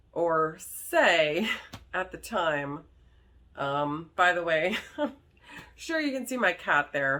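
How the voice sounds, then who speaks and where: A woman speaks loudly. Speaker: vlogger. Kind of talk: casual vlog talk.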